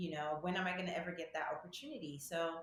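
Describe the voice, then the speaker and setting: Somewhat breathy and fairly low-pitched, a woman talks with ordinary pitch variation in a room with audible echo. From Nigeria. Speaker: medical student. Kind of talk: casual interview.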